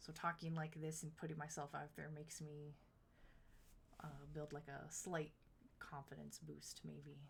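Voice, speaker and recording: A woman's very deep, low voice with vocal fry, monotone and flat, at a fairly slow pace with long, frequent pauses. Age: 30s. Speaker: video game streamer. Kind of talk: live stream chat. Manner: halting.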